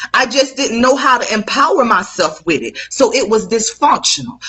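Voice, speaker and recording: A woman talks at a fairly high pitch and a moderate pace. Her tone is animated. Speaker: life coach. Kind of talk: motivational live talk.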